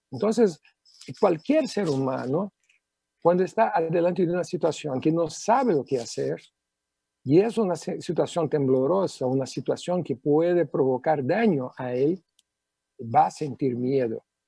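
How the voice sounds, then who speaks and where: The voice has a dark, mellow tone and lively intonation at a fairly slow pace. The sound is dry and close, with no echo. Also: man, fairly high pitch for a man. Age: 50s. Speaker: neuro-linguistic programming practitioner. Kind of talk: TV talk show interview.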